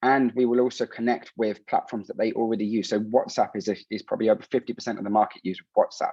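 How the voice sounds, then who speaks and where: A man with a London accent at a very fast pace with hardly any pauses, dry and close with no echo. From London, England (Colombian heritage). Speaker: startup founder. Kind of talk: startup pitch. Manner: hurried.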